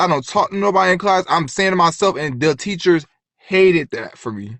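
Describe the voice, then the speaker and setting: A man talks at a fairly quick pace in an animated tone. His high pitch moves with lively intonation. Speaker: vlogger, former nursing student. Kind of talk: rant storytime monologue. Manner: fast.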